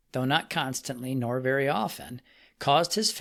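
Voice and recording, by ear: A natural voice is used to read the text aloud.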